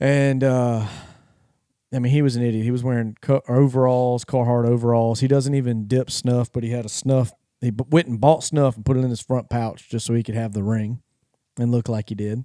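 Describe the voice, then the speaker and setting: A man's medium-pitched voice with a Louisiana accent, dark and mellow in tone, fairly quick and monotone with flat intonation, in a dry, close sound with no echo. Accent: Southern US (Louisiana). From North Louisiana. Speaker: podcast host. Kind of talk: casual chat.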